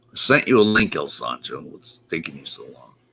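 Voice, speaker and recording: A man's bright, sharp voice with vocal fry, fairly slow, dry and close with no echo. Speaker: live stream show host. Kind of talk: casual chat.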